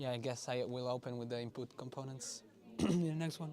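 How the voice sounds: A man's medium-pitched voice with a dark, mellow tone, ordinary pitch variation and a fairly quick pace.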